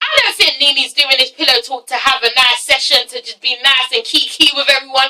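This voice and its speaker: A woman with an English accent, high-pitched and animated in tone, in a raised, projected voice. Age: 20s. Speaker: youtuber, TV reviewer. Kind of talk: casual vlog review.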